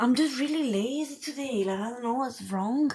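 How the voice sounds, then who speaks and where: Against a quiet background, a woman talks with an Italian accent. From Italy. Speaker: spiritual coach. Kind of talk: livestream chat. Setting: livestream. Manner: casual.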